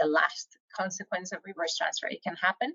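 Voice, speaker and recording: A woman with a Spanish accent. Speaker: professor. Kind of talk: lecture.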